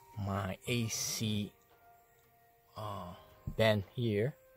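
A man's fairly low voice with fairly even intonation, faint music in the background and a dry sound with no echo. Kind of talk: tutorial. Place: car. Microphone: phone near.

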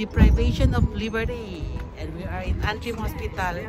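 A woman's voice, dry and without echo, over loud music in the background. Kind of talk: casual vlog chat. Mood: amused, laughing. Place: street. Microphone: phone near.

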